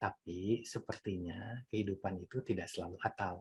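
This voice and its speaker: Fairly low, somewhat breathy male voice with ordinary pitch variation. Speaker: mindfulness teacher. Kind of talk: talk on mindfulness. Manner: conversational.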